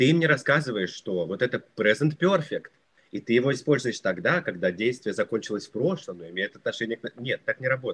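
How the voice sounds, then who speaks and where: Recorded dry and close without echo, a man at medium pitch talks at a fairly quick pace with very wide pitch swings. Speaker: English teacher, YouTuber. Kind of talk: interview.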